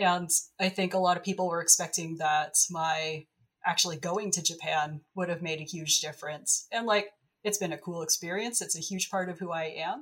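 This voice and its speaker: Fairly even in intonation, the clip presents an unremarkable speaking voice. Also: woman. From Canada. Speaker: archaeologist. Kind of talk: casual chat.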